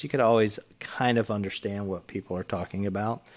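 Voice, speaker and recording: With a Texan accent and a calm tone, a man with a fairly low voice talks at a moderate pace with fairly even intonation on a very clean recording with a silent background. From Texas. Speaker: retired military pilot. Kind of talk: casual chat.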